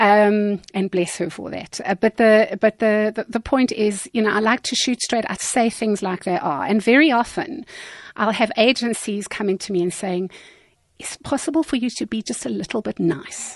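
A woman with a plain, everyday voice talks at a moderate pace and a fairly high pitch with ordinary pitch variation, the sound dry and close with no echo. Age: 50s. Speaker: media trainer and communications consultant. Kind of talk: radio interview.

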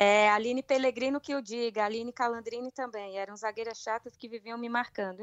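Woman with a fairly high pitch and ordinary pitch variation, at a moderate pace. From Brazil, Brasília. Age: 30s. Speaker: professional women's footballer. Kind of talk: interview.

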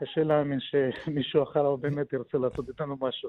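A man speaks in a normal speaking voice at a moderate pace. His pitch sits fairly high. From Soviet Union. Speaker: deal broker. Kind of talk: radio interview.

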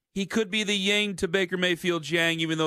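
A man's high-pitched voice, bright and sharp in tone, with ordinary pitch variation and a quiet background. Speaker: sports radio host. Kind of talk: sports talk radio. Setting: studio. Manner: animated; fast.

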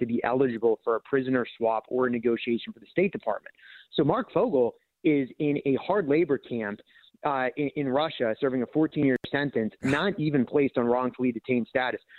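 A normal speaking voice from a man, medium in pitch with ordinary pitch variation, at a fairly quick pace. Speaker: politician. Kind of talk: radio interview.

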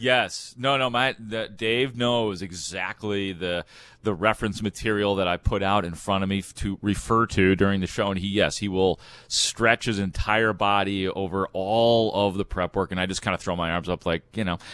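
A man speaks at a fairly low pitch with fairly even intonation and a moderate pace. The sound is dry and close with no echo, over a quiet background. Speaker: sports radio host. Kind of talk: casual sports talk. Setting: at home. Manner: radio voice.

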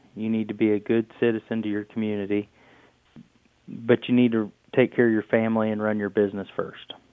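A man with a Midwestern American accent speaks at a fairly quick pace. His fairly low voice stays monotone and flat. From Indiana. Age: 30s. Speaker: farmer. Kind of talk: interview.

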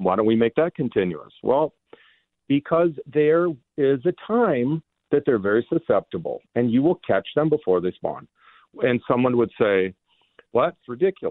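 With an American accent, the speaker moves at a moderate pace, pitch swinging very widely while loudness stays very even. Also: man, fairly high pitch for a man. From Minnesota. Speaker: fishing guide. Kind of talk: radio interview. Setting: phone call.

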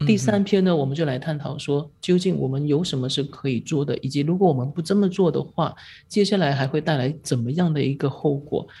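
A woman with a very deep, low pitch and a dark, mellow, somewhat breathy tone speaks at a fairly quick pace with hardly any pauses. Her pitch varies in an ordinary way, and the recording is very clean with a silent background. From Malaysia. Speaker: newspaper reporter. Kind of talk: podcast discussion.

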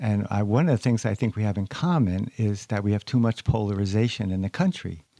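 A man's fairly low, dark, mellow voice with an American accent, fairly quick with hardly any pauses and ordinary pitch variation, on a very clean recording with a silent background. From United States. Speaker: author and organisational consultant. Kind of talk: interview. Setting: studio.

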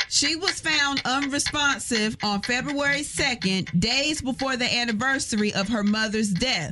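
There is noticeable noise in the background. The speech moves at a fairly slow pace. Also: hardly any pauses. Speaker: radio host. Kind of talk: morning radio show banter. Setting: radio studio. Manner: teasing, playful.

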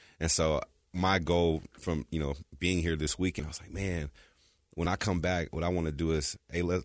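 An American accent at a fairly quick pace, with fairly even intonation and a quiet background. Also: man. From California. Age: 30s. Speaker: former college football player. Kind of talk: casual chat.

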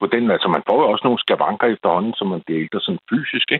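A man talks fairly quickly in a medium pitch. His pitch swings very widely. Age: 60s. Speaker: caller to late-night radio show. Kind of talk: casual chat. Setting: phone call. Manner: halting.

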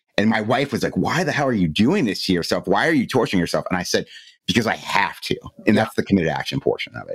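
A man speaks very fast with an American accent. His intonation is lively. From Cleveland, Ohio. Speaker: mental health podcaster. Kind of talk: interview.

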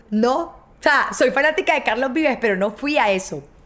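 An animated woman speaks at a moderate pace and high pitch with very wide pitch swings, over noticeable background noise. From Colombia. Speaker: TV presenter and podcast host. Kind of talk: storytelling monologue.

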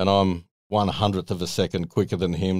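In an Australian accent, a man with a very deep, low pitch speaks in a flat monotone on a very clean recording with a silent background. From Sydney, Australia. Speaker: former racing driver. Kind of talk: casual interview chat.

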